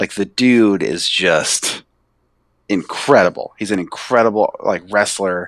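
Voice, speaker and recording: In an ordinary speaking voice, a man talks at a fairly slow pace with a fairly low pitch and ordinary pitch variation, and the sound is dry and close with no echo. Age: 30s. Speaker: wrestling fan, host's coworker. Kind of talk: casual chat.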